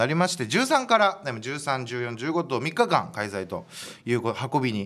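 Very wide pitch swings mark this man's medium-pitched voice on a very clean recording with a silent background. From Japan, Hiroshima. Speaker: comedian and radio host. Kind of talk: solo radio talk.

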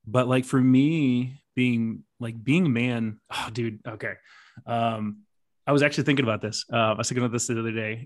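A normal speaking voice: a man with an American accent, medium pitch, moderate pace, on a very clean recording with a silent background. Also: fairly even intonation. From southern West Virginia. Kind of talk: casual chat.

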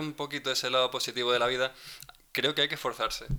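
A man talks at a very fast pace in a medium pitch with a bright, sharp tone. The recording is very clean, with a silent background. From Spain. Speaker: podcast co-host. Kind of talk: casual chat. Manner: reflective.

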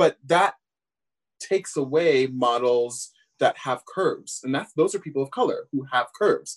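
A man with a fairly high pitch speaks at a moderate pace with lively intonation in a plain, everyday voice. The sound is dry and close with no echo. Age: 30s. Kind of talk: casual panel discussion.

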